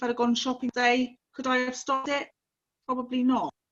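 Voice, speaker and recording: A loud, high-pitched woman with a bright, sharp tone, in an English accent. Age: 40s. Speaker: sibling of a missing person. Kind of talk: interview testimony.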